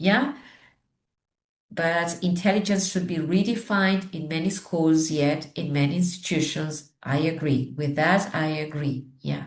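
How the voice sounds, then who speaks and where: The speech comes with a Spanish accent at a fairly slow pace. The voice is somewhat breathy. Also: woman, fairly low pitch for a woman, ordinary pitch variation. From Argentina. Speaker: teacher trainer and education consultant. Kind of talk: interview conversation.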